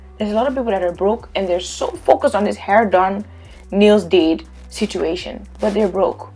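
A woman is speaking. Faint music plays behind her. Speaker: reality show reviewer. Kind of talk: commentary. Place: home room. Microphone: lapel.

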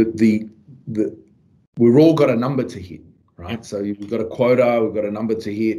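In a Melbourne accent, a man speaks at a moderate pace with a dark, mellow tone. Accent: Australian, western suburbs Melbourne. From western suburbs of Melbourne, Australia. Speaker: podcast host, salesperson. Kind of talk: casual interview. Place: office. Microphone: video call.

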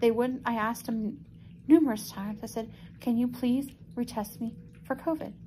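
A woman talks at a moderate pace in a tired tone, her intonation fairly even. Light background noise sits underneath. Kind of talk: casual vlog chat. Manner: weak, tired patient voice on oxygen. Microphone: phone near.

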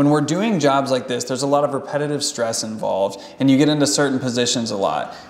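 A man talks at a very fast pace with hardly any pauses and ordinary pitch variation. There is audible room echo. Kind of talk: explanation to a client. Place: gym.

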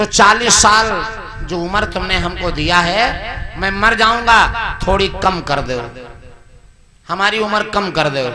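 Someone speaks very slowly in a raised, projected voice over noticeable background noise. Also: man, high pitch for a man, ordinary pitch variation. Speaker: religious storyteller. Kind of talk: devotional story narration. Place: open country. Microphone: handheld.

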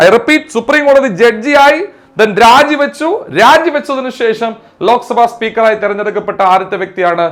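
Extremely high-pitched man's voice with ordinary pitch variation. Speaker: exam coaching teacher. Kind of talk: lecture. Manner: repetitive, emphatic drilling.

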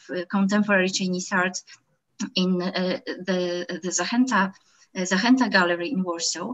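Against a quiet background, the speaker talks in a Polish accent. The pace is moderate and the intonation fairly even. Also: woman. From Poland. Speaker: art historian; panelist. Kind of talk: lecture. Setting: video call. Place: home room. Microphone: webcam.

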